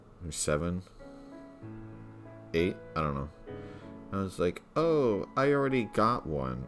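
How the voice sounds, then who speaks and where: With music in the background, a man mumbles at a fairly slow pace in a very deep, low pitch, using very wide pitch swings and long, frequent pauses. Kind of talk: casual talk to camera. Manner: mumbling.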